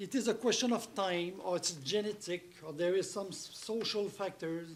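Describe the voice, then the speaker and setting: With audible room echo, a man speaks in a French accent at a high pitch. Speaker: rehab center director. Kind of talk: speech. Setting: stage with audience.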